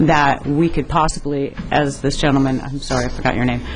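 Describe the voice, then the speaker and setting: A woman with an American accent speaks at a moderate pace in a very deep, low voice over noticeable background noise. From California. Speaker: animal rights activist. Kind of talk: public testimony.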